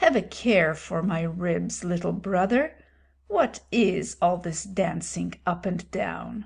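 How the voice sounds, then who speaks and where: A woman's raspy, put-on character voice at a medium pitch and a fairly slow pace. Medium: read story. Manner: calm, dry, measured.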